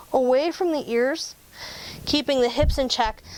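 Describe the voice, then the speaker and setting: A woman speaks at a high pitch in an animated tone. Her pace is fairly slow. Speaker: yoga teacher. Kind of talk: tutorial.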